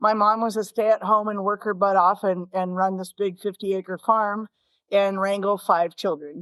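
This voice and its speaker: With an American accent, a woman speaks at a moderate pace and medium pitch in a very clean recording with a silent background. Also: dry, close sound with no echo. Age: 60s. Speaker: fly fishing guide and shop owner. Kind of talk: interview storytelling. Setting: podcast interview. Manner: animated.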